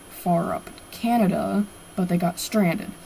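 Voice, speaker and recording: This is a woman speaking. She goes at a very slow pace. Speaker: artist and aspiring author. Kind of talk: casual drawing stream chat. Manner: hesitant, filler-heavy.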